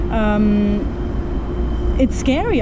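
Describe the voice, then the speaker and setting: A woman speaks with a German accent. Noticeable background noise runs behind her. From Germany. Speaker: dancer and festival producer. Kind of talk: interview.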